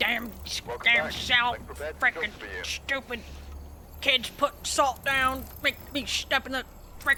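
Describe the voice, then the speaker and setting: A put-on character voice with a high pitch moves at a very slow pace, broken by long, frequent pauses. Clear background noise is present. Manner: angry muttering.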